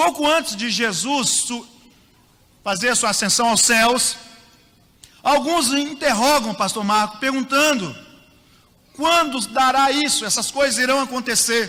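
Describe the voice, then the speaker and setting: Someone speaks in a raised, projected voice at a fairly slow pace with long, frequent pauses and ordinary pitch variation, amid audible room echo and noticeable background noise. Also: man, extremely high pitch for a man. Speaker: pastor, guest preacher. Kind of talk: sermon. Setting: church. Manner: animated.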